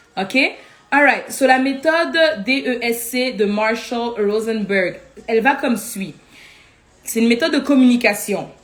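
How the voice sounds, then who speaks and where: Pausing long and often, a woman with a fairly high pitch and ordinary pitch variation talks over noticeable background noise. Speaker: life coach. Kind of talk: live teaching. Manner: fast.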